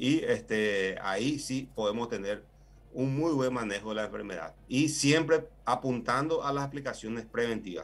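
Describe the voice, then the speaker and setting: A man at a moderate pace, medium in pitch, with ordinary pitch variation. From Paraguay, Itapúa. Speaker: agricultural engineer, plant health official. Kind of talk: expert interview. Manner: hesitant, many fillers. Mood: calm, explanatory. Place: office. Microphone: video call.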